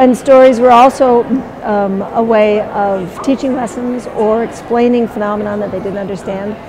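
Noticeable background noise surrounds a woman talking. Her fairly high voice keeps a moderate pace. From Southeast Alaska, Tlingit. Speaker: storyteller and weaver. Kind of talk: interview about storytelling mixed with a dramatic story performance. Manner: animated, dramatic storytelling delivery with character voices; conversational and warm in interview. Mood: warm, thoughtful. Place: hall.

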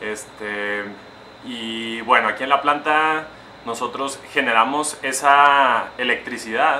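There is light background noise as a man speaks at a very slow pace. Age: 20s. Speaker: chemical engineer. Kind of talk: educational talk for young children. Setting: industrial power plant, partly outdoors. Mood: friendly, encouraging. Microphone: phone near.

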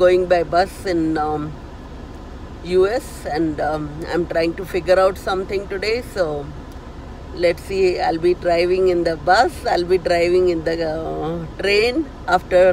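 Speaking at a fairly slow pace, a woman uses fairly low pitch and fairly even intonation. The sound is dry with no echo, over light background noise. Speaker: vlogger. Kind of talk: casual vlog chat. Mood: nervous but cheerful. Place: car. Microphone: phone near.

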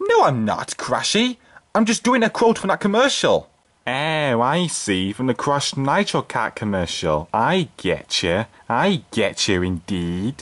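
A man speaking at a fairly slow pace against a quiet background. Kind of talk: playful puppet skit with unboxing commentary. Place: home room. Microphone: phone near.

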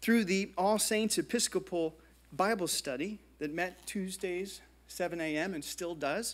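Speaking with an American accent, a man talks at a fairly slow pace in a high pitch with ordinary pitch variation. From US (New Jersey, Indiana; partly Brazil). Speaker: art history professor. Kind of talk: lecture. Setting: stage with audience. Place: hall. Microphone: podium.

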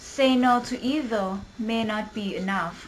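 Over noticeable background noise, a woman with a Thai accent talks at a fairly high pitch with ordinary variation. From Thailand. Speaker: university student. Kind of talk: poetry reading.

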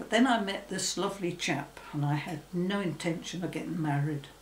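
There is audible room echo and light background noise as a woman speaks at a fairly low pitch with ordinary pitch variation. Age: 80s+. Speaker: former secretary. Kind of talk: interview answer. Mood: reflective, calm. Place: home room.

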